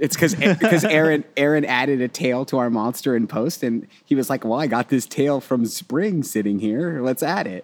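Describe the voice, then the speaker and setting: With hardly any pauses, a man speaks in an unremarkable speaking voice at medium pitch and a moderate pace, his intonation lively, in a very clean recording with a silent background. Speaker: filmmaker. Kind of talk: casual chat.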